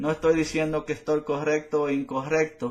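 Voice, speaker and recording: A man with a Spanish accent speaks at a fairly high pitch. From Latin America. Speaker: political commentator. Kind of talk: opinion monologue. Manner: halting.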